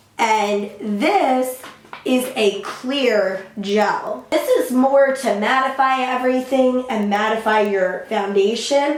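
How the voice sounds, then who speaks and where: Amid noticeable background noise and audible room echo, a woman speaks at a very slow pace in a high pitch, her loudness very even and her pitch varying in an ordinary way. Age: young. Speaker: beauty vlogger. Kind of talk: tutorial.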